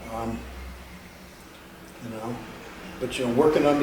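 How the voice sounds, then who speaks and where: A man talks with audible room echo and noticeable background noise around him. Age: 70s. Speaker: bouncer. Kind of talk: interview. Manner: halting, many fillers.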